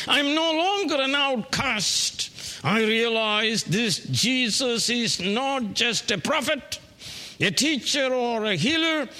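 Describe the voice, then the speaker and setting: Over light background noise, a man does a put-on character voice at an extremely high pitch and a very slow pace. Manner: shouting joyfully at the top of the voice.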